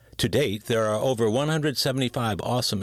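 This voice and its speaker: A man's very fast speech with lively intonation. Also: very clean recording, silent background. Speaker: podcast host. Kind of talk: podcast intro.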